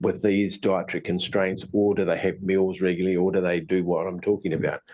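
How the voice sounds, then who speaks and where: A man mumbles at a fairly quick pace in a New Zealand accent. His pitch is fairly low. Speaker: tai chi and qigong teacher. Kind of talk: online presentation. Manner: fast; mumbling.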